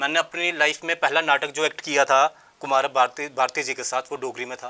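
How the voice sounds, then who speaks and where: A man talks at a moderate pace in a bright, sharp tone with a fairly high pitch. His intonation is monotone and flat, the sound dry and close with no echo. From Jammu, India. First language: Dogri (speaking Hindi). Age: young. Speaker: theatre actor and director. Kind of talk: interview.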